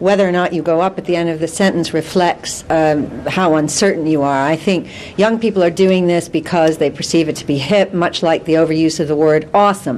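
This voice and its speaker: Against noticeable background noise, a woman with a fairly low pitch talks at a moderate pace, with hardly any pauses and ordinary pitch variation. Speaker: careers or workplace expert. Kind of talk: TV news interview answer.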